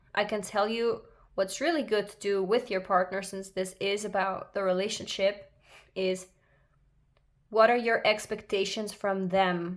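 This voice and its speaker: In a very clean recording with a silent background, a woman with a non-native accent speaks at a fairly slow pace, medium in pitch and fairly even in intonation. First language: not English. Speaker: tarot reader. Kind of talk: tarot reading monologue. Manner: halting, many fillers.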